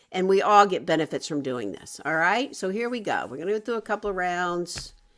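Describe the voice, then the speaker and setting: Speaking with an American accent, a woman has an ordinary speaking voice at medium pitch. Her intonation is lively and her pace fairly quick. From US South. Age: 60s. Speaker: wellness coach. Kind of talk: online workshop.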